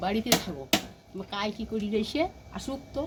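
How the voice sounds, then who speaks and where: Noticeable background noise accompanies a woman of medium pitch whose intonation is lively. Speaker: villager interviewee. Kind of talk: interview testimony.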